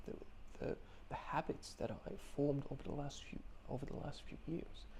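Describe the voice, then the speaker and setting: A man mumbles in a dark, mellow tone with vocal fry. His intonation is fairly even. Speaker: video blogger. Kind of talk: personal video diary. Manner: mumbling, stumbling.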